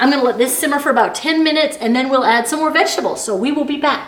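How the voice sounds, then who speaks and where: A woman speaks at a high pitch. Audible room echo and noticeable background noise surround her voice. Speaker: cooking channel host. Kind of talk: cooking tutorial. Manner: fast.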